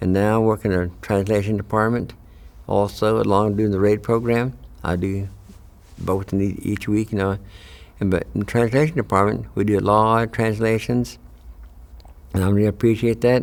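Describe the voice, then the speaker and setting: A man talks at a moderate pace with a fairly low pitch and ordinary pitch variation. He leaves long, frequent pauses. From Oklahoma, Cherokee community. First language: Cherokee. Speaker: translator and radio host. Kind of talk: personal testimony. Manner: halting, many fillers.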